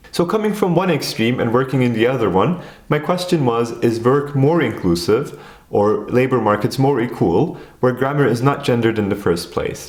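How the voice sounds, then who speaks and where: Speaking with a Turkish accent, a man talks at a medium pitch and a moderate pace with lively intonation and very even loudness, with audible room echo. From Turkey. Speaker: educational video creator. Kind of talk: scripted narration.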